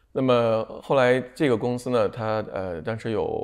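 The background stays quiet. A man is the one talking. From China. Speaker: pharmaceutical distribution executive; interviewee. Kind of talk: TV interview. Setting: studio. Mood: calm, reflective. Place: home room. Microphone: lapel.

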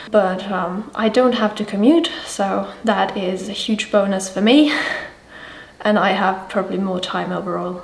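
A woman talks at a fairly slow pace, with room echo clearly audible. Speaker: illustrator. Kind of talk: casual vlog talk to camera. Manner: mumbling, unscripted. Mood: animated, slightly exasperated. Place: home room.

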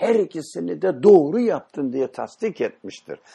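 The voice has a dark, mellow tone and very wide pitch swings. The background is quiet. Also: man. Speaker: Islamic teacher leading a study session. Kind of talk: religious lecture with discussion.

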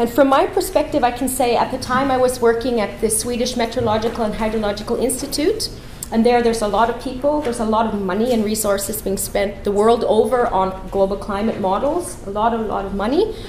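A woman's fairly high voice at a very fast pace with hardly any pauses and ordinary pitch variation, amid light background noise and audible room echo. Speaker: climate policy researcher and professor. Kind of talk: conference talk. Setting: conference room with audience. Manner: fast talker. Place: hall.

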